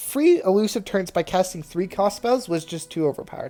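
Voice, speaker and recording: This woman's voice is medium in pitch with a dark, mellow tone. She speaks at a moderate pace. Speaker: gaming video creator. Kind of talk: commentary on game patch notes. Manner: casual, with fillers.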